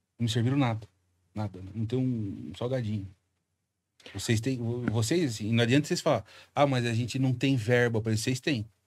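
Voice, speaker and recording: A somewhat breathy man at a moderate pace with long, frequent pauses and ordinary pitch variation, over light background noise. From Brazil. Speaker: comedian. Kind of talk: casual chat. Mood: joking, provocative, teasing hosts. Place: studio. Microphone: studio mic.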